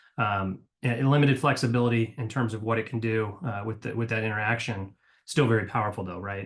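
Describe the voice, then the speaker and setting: Somewhat breathy and fairly low, a man talks at a very fast pace with fairly even intonation. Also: quiet background. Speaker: company executive presenting a webinar. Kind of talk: webinar presentation. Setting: online webinar with screen share. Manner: hesitant, many fillers.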